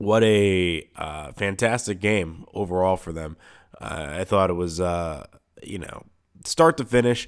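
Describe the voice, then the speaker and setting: A man's very deep, low voice, fairly slow, with ordinary pitch variation and big swings in loudness, on a very clean recording with a silent background. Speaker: sports radio host. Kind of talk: sports talk radio monologue. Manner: casual, many filler words.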